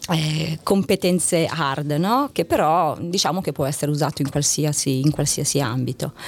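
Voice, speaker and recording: With hardly any pauses, a woman talks at a moderate pace and a very deep, low pitch. Her pitch variation is ordinary. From northern Italy, Novara province. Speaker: corporate communications executive. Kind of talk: interview. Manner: hesitant with fillers.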